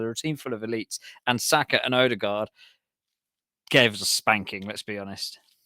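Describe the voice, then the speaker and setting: A man talks at a fairly quick pace with an English accent. The sound is dry and close, with no echo. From Nottingham, England. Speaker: podcast co-host. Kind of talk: casual chat.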